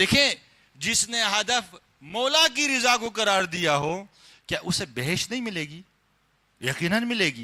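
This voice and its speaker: On a very clean recording with a silent background, a man projects a raised voice with a high pitch, a bright, sharp tone and very wide pitch swings. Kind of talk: religious sermon (majlis) lecture.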